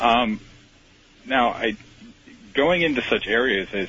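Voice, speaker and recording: Noticeable background noise runs throughout. The man talks fairly slowly. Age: 40s. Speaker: radio caller. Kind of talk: call-in question. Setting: phone call.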